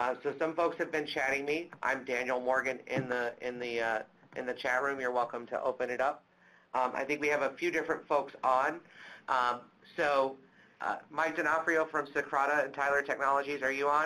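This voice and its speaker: A man with a bright, sharp tone and fairly high pitch speaks at a moderate pace with fairly even intonation. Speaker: webinar moderator. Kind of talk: webinar moderation. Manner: loud.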